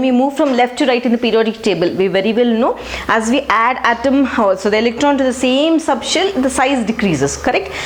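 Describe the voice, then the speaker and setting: Over noticeable background noise and audible room echo, a woman talks at a fairly quick pace with hardly any pauses, her high pitch lively in intonation and her loudness very even. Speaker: chemistry teacher. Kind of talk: lecture.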